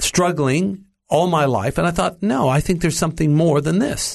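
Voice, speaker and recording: Talking at a moderate pace, a man with an American accent and a fairly high pitch has a normal speaking voice. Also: quiet background. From US, Los Angeles. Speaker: preacher and Bible teacher. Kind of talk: interview, testimony. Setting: studio.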